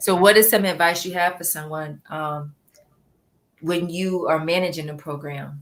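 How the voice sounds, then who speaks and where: Using an ordinary speaking voice, a woman talks at a moderate pace in a fairly low pitch with fairly even intonation. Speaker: live interview host. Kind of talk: live stream host talk.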